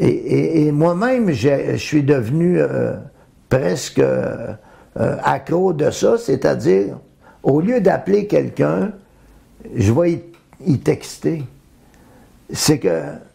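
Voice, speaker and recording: At a very slow pace, a man speaks with long, frequent pauses and very even loudness. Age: 70s. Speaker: interviewee in documentary. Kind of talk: interview.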